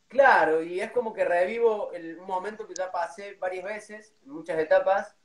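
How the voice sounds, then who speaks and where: The delivery moves at a moderate pace with hardly any pauses, fairly even intonation and big swings in loudness. Audible room echo is present. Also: man, high pitch for a man. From Córdoba, Argentina. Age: 30s. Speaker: cuarteto band announcer and MC; cuarteto band announcer, MC. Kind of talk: casual interview on a livestream. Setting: video call livestream. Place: home room. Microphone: too quiet, no headphones; phone near.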